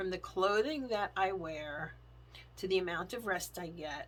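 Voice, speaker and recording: At a moderate pace, a woman talks in a fairly low pitch with a bright, sharp tone, vocal fry and ordinary pitch variation. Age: 50s. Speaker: faith and planner vlogger. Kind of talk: testimony.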